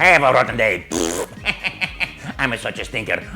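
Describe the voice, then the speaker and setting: A man puts on a character voice at a medium pitch and a moderate pace. Clear background noise is present. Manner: nasty, gloating.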